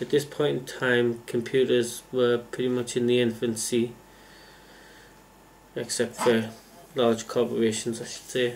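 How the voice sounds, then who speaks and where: A man with an English accent, flat and monotone, fairly slow, with long, frequent pauses. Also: medium pitch for a man. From England. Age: 30s. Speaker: computer engineer. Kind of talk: casual talk to camera.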